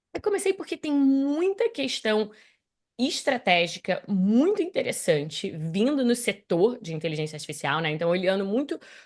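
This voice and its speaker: With a slight American accent, a woman speaks at a moderate pace against a quiet background. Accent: slight American accent in her Portuguese. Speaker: tech content creator on AI. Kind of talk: interview.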